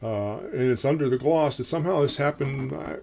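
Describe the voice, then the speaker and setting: A man's relaxed tone with lively intonation amid noticeable background noise. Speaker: guitar reviewer and songwriter. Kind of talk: casual product review. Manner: relaxed with many fillers.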